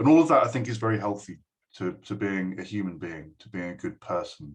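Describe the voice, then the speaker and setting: With an English accent, a man talks at a fairly quick pace in a fairly low pitch, his intonation lively and his loudness swinging widely. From England. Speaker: university lecturer. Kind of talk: speech to a school. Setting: recorded video address. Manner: hesitant, many fillers.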